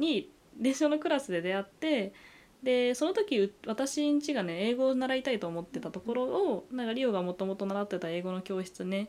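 This woman's pitch swings very widely as she keeps a moderate pace. The background is silent and the recording very clean. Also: fairly high pitch for a woman. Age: 20s. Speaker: podcast co-host, university student. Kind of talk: casual chat.

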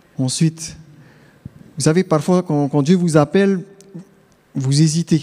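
A man talks at a fairly slow pace with a fairly high pitch. His intonation stays fairly even, broken by long, frequent pauses. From Tahiti. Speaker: theology student. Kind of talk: testimony. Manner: halting.

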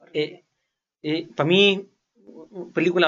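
This man has a high-pitched voice. He speaks with a Chilean accent. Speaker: podcast co-host. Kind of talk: casual chat. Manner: fast, occasional stutter.

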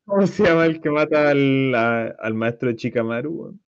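With a Chilean accent, a man speaks at a fairly slow pace. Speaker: podcast co-host. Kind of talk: casual chat.

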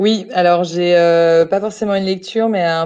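At a fairly slow pace, a woman with a fairly low pitch and a dark, mellow tone speaks with fairly even intonation. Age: 30s. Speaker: hotel group employee, expatriate. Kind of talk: casual interview. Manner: halting.

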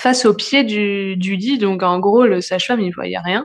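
Woman's voice at medium pitch with fairly even intonation. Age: 30s. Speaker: new mother telling her birth story. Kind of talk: personal testimony. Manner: hesitant, many fillers.

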